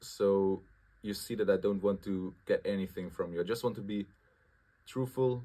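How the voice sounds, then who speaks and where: A man's fairly low pitch and dark, mellow tone, fairly even intonation and long, frequent pauses, on a very clean recording with a silent background. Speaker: student vlogger. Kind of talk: casual vlog monologue. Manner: fast; halting, self-correcting.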